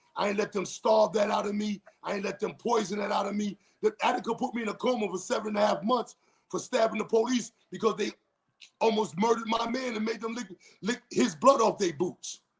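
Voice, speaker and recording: In an animated tone, a man with a high-pitched voice talks at a fairly quick pace. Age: 50s. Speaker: former prisoner, gang veteran. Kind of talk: casual interview. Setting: livestream.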